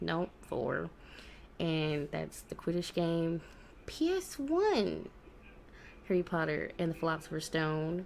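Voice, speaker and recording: Soft-spoken delivery at a very slow pace with long, frequent pauses, on a very clean recording with a silent background. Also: woman. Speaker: gaming YouTuber. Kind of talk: casual vlog monologue. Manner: soft-spoken, talking low; hesitant, many fillers.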